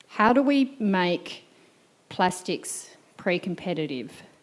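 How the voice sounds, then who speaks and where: With an Australian accent, a woman speaks at a fairly low pitch. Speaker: audience member asking a question. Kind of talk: Q&A question at a symposium. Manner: slow.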